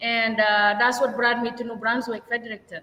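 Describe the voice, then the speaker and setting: A woman with a non-native accent speaks in a high pitch and a bright, sharp tone. Her intonation stays fairly even. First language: not English. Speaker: restaurant owner and chef. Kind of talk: interview. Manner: slow.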